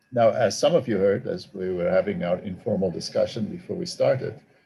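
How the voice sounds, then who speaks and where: A man speaks at a moderate pace with a South African accent. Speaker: theology professor and author. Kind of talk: talk to an online audience. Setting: video call. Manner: hesitant, with fillers.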